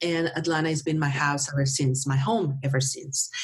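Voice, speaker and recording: A woman with a Mexican accent at a moderate pace. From northern Mexico (Monterrey). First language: Spanish. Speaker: marketing professional and former TV news anchor. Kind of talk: interview. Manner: halting, with repeated words.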